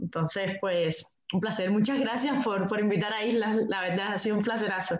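A woman with an unremarkable speaking voice, medium pitch, fairly even intonation, very even loudness and a fairly quick pace. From Cuba. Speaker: communications specialist. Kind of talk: group interview.

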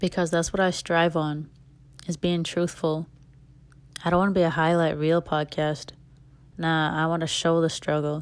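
With long, frequent pauses and very even loudness, a woman speaks in a fairly low, flat monotone on a very clean recording with a silent background. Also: moderate pace. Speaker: solo podcast host. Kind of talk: casual monologue. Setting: home recording without microphone. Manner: uneven volume and speed.

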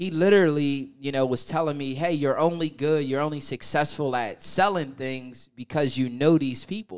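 At a moderate pace, a man with a normal speaking voice speaks at a fairly high pitch with ordinary pitch variation, in a very clean recording with a silent background. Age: 30s. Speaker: podcast co-host, salesman. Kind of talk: casual chat.

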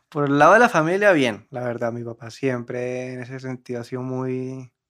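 Pitched in the middle range, a man speaks at a fairly quick pace with fairly even intonation. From Cartagena, Colombia. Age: 20s. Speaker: musician in a band. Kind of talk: casual chat.

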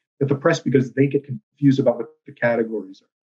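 A somewhat breathy man with an American accent, a fairly high pitch and ordinary pitch variation. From South Texas, Rio Grande Valley. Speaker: newspaper columnist. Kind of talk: casual interview.

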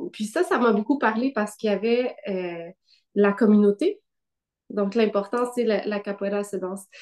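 Her pitch sits fairly high, and the woman keeps a moderate pace with ordinary pitch variation. Long, frequent pauses break up her speech. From Quebec, Gatineau (Outaouais). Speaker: dancer and choreographer. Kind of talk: casual interview.

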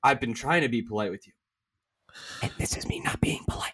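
A put-on character voice, raspy and whispering, moves along at a fairly quick pace. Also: man. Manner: menacing, controlled.

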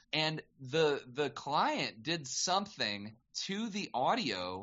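Lively intonation from a male speaker. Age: 30s. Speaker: voice actor. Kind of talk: casual chat.

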